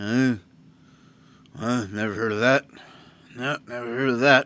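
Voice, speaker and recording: A man puts on a gruff character voice at medium pitch. His intonation is fairly even, and the pace is moderate. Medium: actual play. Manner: gruff, matter-of-fact.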